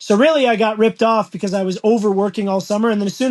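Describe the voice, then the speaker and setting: With a Canadian accent, a man speaks very fast in a high voice for a man, his intonation fairly even. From Canada, Toronto. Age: 30s. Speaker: carpenter and construction business owner. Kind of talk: casual interview chat.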